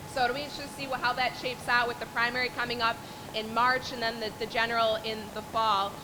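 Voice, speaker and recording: A woman talks at a very fast pace in a fairly high voice with monotone, flat intonation. Audible room echo and noticeable background noise surround her. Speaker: lobbyist. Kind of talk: speech to a meeting. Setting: event with audience, no PA system.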